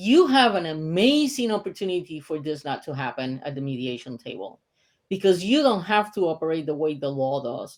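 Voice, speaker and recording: A woman with a Puerto Rican accent speaks at a fairly low pitch and a moderate pace, her pitch swinging very widely, on a very clean recording with a silent background. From Puerto Rico. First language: Spanish. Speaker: mediator and author. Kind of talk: interview.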